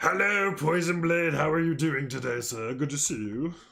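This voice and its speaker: A man in a put-on character voice, fairly high in pitch with ordinary pitch variation and audible echo. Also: moderate pace. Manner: silly, put-on greeting voice.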